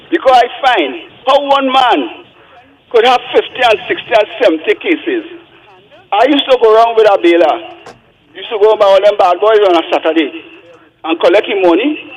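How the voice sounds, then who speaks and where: A man's extremely high voice at a fairly quick pace, with very wide pitch swings, long and frequent pauses, and noticeable background noise. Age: 70s. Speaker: caller. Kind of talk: phone-in call. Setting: phone call.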